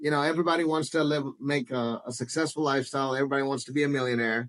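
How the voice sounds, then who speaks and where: At a very fast pace, a man with an American accent talks in a fairly high pitch with fairly even intonation. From US South, Spartanburg, South Carolina. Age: 40s. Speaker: business owner, tequila brand founder. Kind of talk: interview. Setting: at home.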